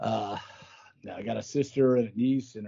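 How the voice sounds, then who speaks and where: At a moderate pace, a man speaks with medium pitch. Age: 50s. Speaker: political candidate. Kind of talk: interview. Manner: animated.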